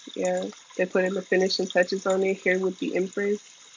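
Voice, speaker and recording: The speech moves at a moderate pace, and noticeable background noise can be heard. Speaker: tarot reader. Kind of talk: tarot reading. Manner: animated.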